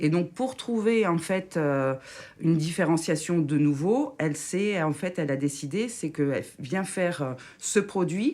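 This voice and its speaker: A woman's fairly low, dark, mellow voice with lively intonation at a fairly slow pace. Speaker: radio show columnist. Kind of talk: casual radio chat. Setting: studio. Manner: halting, unfinished sentences.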